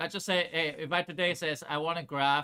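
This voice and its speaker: In a very clean recording with a silent background, a man speaks at a fairly high pitch with a bright, sharp tone. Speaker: high school math teacher. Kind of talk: classroom lecture. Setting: classroom with students. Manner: fast.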